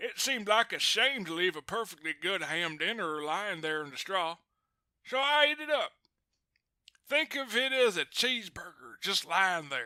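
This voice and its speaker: Using a put-on character voice, a woman speaks at medium pitch and a moderate pace with very wide pitch swings. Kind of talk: storytime reading. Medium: read story. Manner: chatty, confiding, self-justifying.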